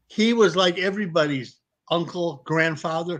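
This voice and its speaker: A man with an American accent and lively intonation against a quiet background. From Detroit, US Midwest. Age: 50s. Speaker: retired pro wrestler. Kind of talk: casual chat. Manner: animated.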